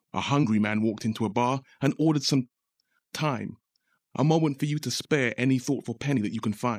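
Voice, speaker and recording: Speaking in an ordinary speaking voice at a fairly quick pace, this man has a medium pitch and ordinary pitch variation, captured in a very clean recording with a silent background and a dry, close sound with no echo. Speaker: poet. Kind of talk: spoken word poem, rhythmic rhymed performance with punchline twists. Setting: radio studio. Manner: measured, rhythmic delivery building from playful jokes to sober social commentary.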